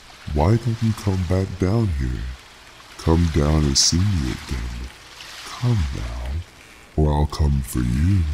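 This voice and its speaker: A man's put-on character voice at a fairly slow pace, with clear background noise. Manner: menacing.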